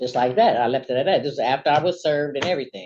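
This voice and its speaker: Lively intonation marks a woman's very deep, low voice moving at a fairly quick pace. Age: 60s. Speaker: petitioner in a neighbor dispute court hearing. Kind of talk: court testimony. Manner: halting, many fillers.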